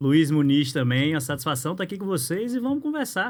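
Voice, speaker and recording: This man speaks with a fairly high pitch. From Natal, northeast Brazil. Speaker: insurance broker and business networking director. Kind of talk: podcast interview.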